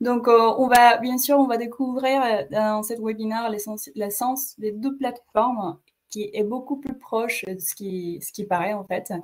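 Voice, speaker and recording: With a Mexican accent, a woman speaks at a fairly slow pace in a fairly high pitch, with ordinary pitch variation and big swings in loudness. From Mexico. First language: Spanish (speaking French). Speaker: webinar host, marketing coordinator. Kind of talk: webinar presentation. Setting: online webinar. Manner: hesitant, many fillers.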